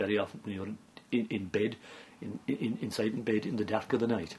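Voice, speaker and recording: A man speaks at a medium pitch with an Irish accent. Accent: Irish (Clare). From County Clare, Ireland. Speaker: traditional storyteller (seanchaí). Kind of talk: folk tale telling.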